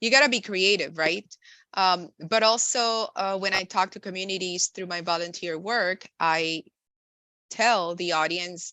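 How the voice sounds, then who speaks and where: Her Spanish accent is clear as this woman speaks at a fairly slow pace. She keeps a medium pitch with ordinary variation. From Nicaragua, raised in the US from young. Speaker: insurance and benefits professional. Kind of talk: podcast interview. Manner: frequent fillers (um, uh).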